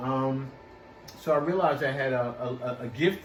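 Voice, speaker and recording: A man talks with ordinary pitch variation. Audible room echo and noticeable background noise are present. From Philadelphia, US. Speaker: actor and singer. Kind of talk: interview. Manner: halting, many fillers.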